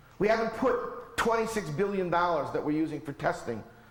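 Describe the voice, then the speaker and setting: A man talks at a fairly quick pace with lively intonation. Noticeable background noise and audible room echo are present. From US. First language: not English. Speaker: professor. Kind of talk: lecture. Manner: animated.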